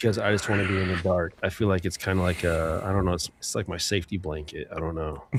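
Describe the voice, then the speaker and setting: Soft-spoken and somewhat breathy, a man with a very deep, low pitch talks at a very fast pace with hardly any pauses and fairly even intonation. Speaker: live-stream podcast co-host. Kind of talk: casual chat.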